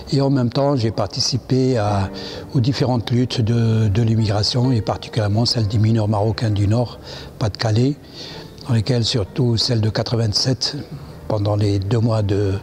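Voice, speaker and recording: Medium-pitched male speech at a moderate pace, with fairly even intonation, against noticeable background noise. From Morocco. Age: 70s. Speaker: immigrant rights activist. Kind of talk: interview. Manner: halting.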